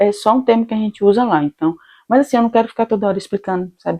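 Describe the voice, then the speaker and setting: The voice has a dark, mellow tone and a very fast pace, with a dry, close sound with no echo and a quiet background. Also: woman. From Brazil, Salvador (Bahia). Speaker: immigrant vlogger. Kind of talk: casual vlog monologue.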